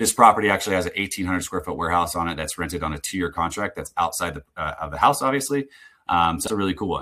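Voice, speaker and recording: A man talks very fast in a very deep, low voice with a bright, sharp tone. His intonation is lively. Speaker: software founder presenting a product demo. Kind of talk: live webinar product demo. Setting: online webinar. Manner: casual with many fillers.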